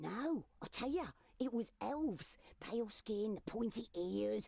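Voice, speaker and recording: A woman uses a put-on character voice, speaking at a fairly slow pace with a fairly high pitch. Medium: video game.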